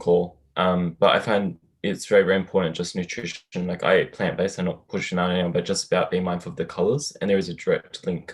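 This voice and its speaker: A man's very deep, low voice at a fairly quick pace, with ordinary pitch variation and a quiet background. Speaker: participant. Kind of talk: group video call discussion. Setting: video call.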